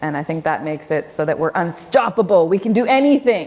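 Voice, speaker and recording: A woman with a Canadian accent speaks at a fairly low pitch with lively intonation. Music plays in the background. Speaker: panel moderator, QA manager. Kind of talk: panel moderation.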